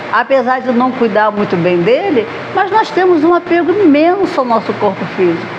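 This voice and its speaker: A woman's voice moves through very wide pitch swings. Audible room echo and noticeable background noise surround it. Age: 60s. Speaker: spiritist lecturer. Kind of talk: lecture. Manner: conversational.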